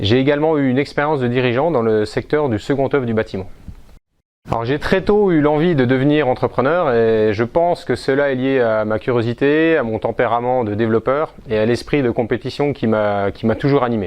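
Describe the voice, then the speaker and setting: This man's speech comes at a fairly quick pace, with ordinary pitch variation throughout. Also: medium pitch for a man. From France, Besançon. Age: 40s. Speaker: entrepreneur, business owner. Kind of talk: self-presentation interview. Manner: hesitant, with frequent fillers.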